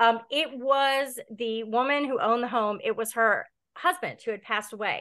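In an American accent, a woman speaks with a bright, sharp tone, fairly high in pitch, with ordinary pitch variation. She keeps a moderate pace against a quiet background. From Delaware, US. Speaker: horror author. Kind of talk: casual chat.

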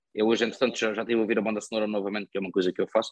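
A man's voice with a dry, close sound and no echo. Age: 20s. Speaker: podcast host, film reviewer. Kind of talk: casual chat.

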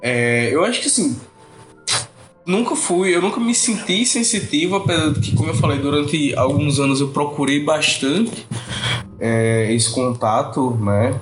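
Over noticeable background noise, a man with a fairly high pitch speaks at a fairly slow pace, his pitch swinging very widely. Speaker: podcast guest. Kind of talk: casual chat.

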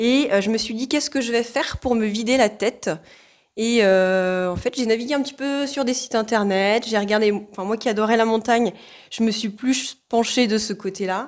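A woman speaks at a moderate pace with a fairly high pitch and a plain, everyday voice. The recording is very clean, with a silent background. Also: ordinary pitch variation. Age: 30s. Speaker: social care worker and hiker. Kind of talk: casual interview.

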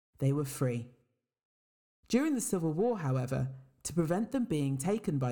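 In a West Midlands accent, a woman with a dark, mellow tone speaks with very wide pitch swings. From England, Worcester. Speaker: podcast narrator. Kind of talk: scripted narration.

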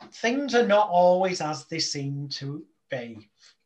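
In an English accent, a man speaks at a high pitch. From England. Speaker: hypnotist. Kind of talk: casual chat.

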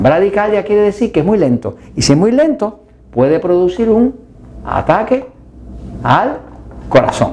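A high-pitched man's voice at a fairly slow pace, with long, frequent pauses, very even loudness, and noticeable background noise. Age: 60s. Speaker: health educator. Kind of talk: health video talk.

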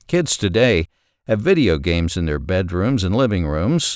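Using vocal fry and very wide pitch swings, a man with an American accent speaks at a moderate pace. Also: very clean recording, silent background. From US South, southwest Arkansas. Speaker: podcast host, writer. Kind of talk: scripted narration.

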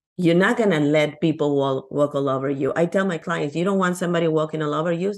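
A woman's very deep, low voice in a Peruvian accent, with ordinary pitch variation. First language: Spanish. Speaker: abundance coach. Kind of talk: casual interview chat.

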